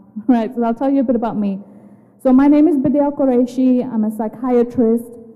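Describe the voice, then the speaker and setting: A woman's high voice at a fairly quick pace, with fairly even intonation and noticeable background noise. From UK. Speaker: psychiatrist. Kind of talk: educational talk. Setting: assembly hall with audience.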